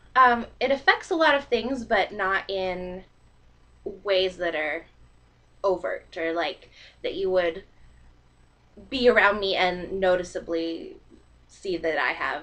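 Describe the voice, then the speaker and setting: A woman of medium pitch speaks at a fairly slow pace in a bright, sharp tone, with lively intonation and long, frequent pauses. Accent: slight Canadian. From Canada, northern British Columbia, then US from age nine. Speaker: vlogger. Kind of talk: casual vlog monologue. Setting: recording to computer webcam.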